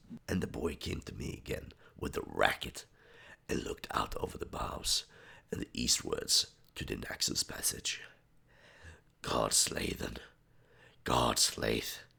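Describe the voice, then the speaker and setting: Long, frequent pauses break up the fairly slow delivery. Noise in the background is noticeable. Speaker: reader of poetry. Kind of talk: reading aloud.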